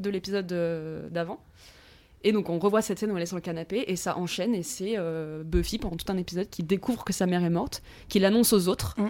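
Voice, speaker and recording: A woman's very fast speech on a very clean recording with a silent background. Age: 20s. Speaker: student. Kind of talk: casual chat. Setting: at the host's home.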